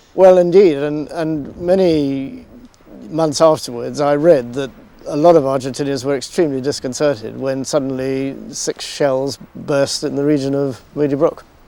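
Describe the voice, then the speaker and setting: Noticeable background noise sits behind a man's fairly high voice. He keeps a moderate pace and fairly even intonation. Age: 60s. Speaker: retired military commander. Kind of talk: interview.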